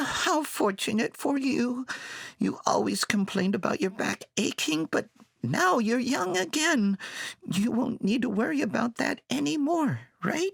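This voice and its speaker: This man uses a put-on character voice, pitched extremely high, with very wide pitch swings. His pace is moderate and his loudness very even. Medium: read story.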